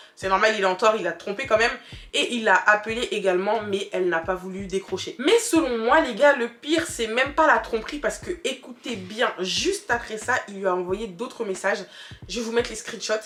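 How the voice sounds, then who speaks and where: A woman with a fairly high pitch sounds animated, her intonation lively over noticeable background noise. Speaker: YouTuber. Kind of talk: storytime. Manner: fast.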